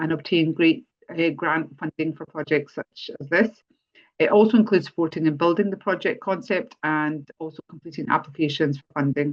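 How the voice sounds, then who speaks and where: This woman has a fairly low pitch and ordinary pitch variation, speaking at a fairly quick pace. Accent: Scottish. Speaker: charity policy lead and webinar host. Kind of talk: webinar introduction. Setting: online webinar. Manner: hesitant, many fillers.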